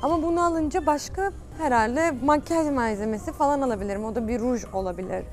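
Fairly quick, high-pitched speech from a woman, dry with no echo, light background noise behind. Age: 20s. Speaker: YouTuber. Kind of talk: vlog. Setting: outdoors. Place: shop. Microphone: lapel.

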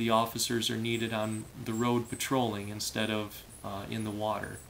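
Over light background noise, the speaker uses monotone, flat intonation in an American accent. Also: man. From Michigan. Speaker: diver and former firefighter. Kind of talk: casual vlog monologue. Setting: home room, filmed video. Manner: hesitant, many fillers. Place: home room. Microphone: phone near.

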